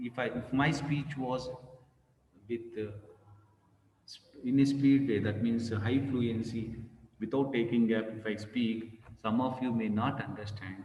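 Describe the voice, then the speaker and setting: Over noticeable background noise and audible room echo, a man talks at a fairly slow pace with fairly even intonation and long, frequent pauses. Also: medium pitch for a man. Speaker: professor. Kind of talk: lecture.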